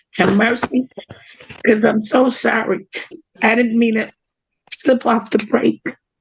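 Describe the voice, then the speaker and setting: Here a woman puts on a raspy character voice at a fairly high pitch. She goes at a fairly slow pace, with long, frequent pauses. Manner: remorseful, pleading.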